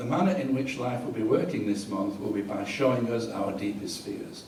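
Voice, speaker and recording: With an English accent, a man speaks at a medium pitch and moderate pace, with noticeable background noise and audible room echo. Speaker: astrologer. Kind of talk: reading aloud.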